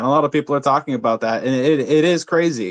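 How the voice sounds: A man talks at a fairly quick pace. His tone is fairly bright.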